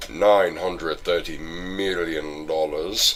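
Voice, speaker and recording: A man puts on a character voice with a very deep, low pitch at a very slow pace, over clear background noise. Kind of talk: theatrical. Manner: menacing, dramatic.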